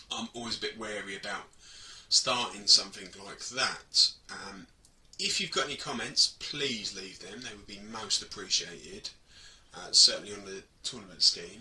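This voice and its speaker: In an English accent, a man with a fairly low pitch and a bright, sharp tone speaks at a moderate pace, with ordinary pitch variation and big swings in loudness. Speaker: hobby gaming vlogger. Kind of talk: casual vlog talk to camera.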